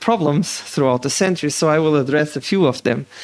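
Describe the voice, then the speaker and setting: With a slight Portuguese accent, a man speaks at a fairly high pitch with ordinary pitch variation. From Portugal. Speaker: political science professor. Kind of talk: lecture. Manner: fast.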